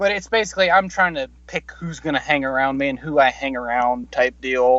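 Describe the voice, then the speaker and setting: In an American accent, a man with a plain, everyday voice and a fairly high pitch talks at a moderate pace with ordinary pitch variation against a quiet background. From US South. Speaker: firearms content creator. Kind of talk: casual chat.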